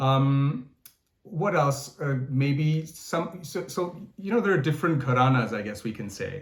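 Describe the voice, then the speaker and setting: With a fairly high pitch and lively intonation, a man talks at a fairly slow pace in a somewhat breathy voice, and audible room echo surrounds him. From Canada, Toronto. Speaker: singer. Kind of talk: interview. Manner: halting, many fillers and repeats.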